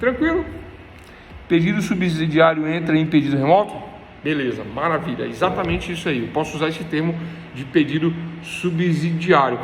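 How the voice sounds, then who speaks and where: A man speaks at a high pitch with audible room echo. Noticeable background noise is present. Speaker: law professor. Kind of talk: lecture. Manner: fast; repetitive, explanatory.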